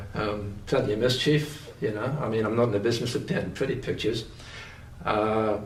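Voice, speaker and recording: A man with a medium pitch talks at a fairly quick pace with ordinary pitch variation, amid audible room echo and noticeable background noise. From northern England, Newcastle upon Tyne (Geordie). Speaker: painter. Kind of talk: interview. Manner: halting, many fillers and restarts.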